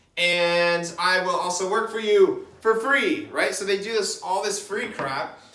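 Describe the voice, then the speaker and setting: A raised, projected voice in an energetic tone at a fairly slow pace with hardly any pauses and audible room echo. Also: man, high pitch for a man, ordinary pitch variation. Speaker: online business coach. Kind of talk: whiteboard tutorial. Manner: casual, energetic.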